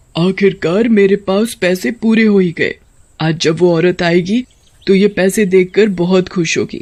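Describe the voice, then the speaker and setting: Someone uses a cartoonish character voice at a middle pitch and a moderate pace. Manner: warm, motherly.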